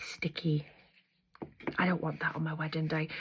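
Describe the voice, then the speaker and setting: A woman speaks softly in a gentle tone. Her pitch is very deep and low. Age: 30s. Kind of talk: ASMR makeup tutorial, casual talk to camera. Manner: soft-spoken, gentle.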